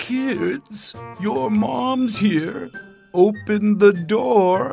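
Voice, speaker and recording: Soft-spoken and very slow, the speaker uses a put-on character voice at a middle pitch. Faint music plays in the background. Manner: soft, coaxing.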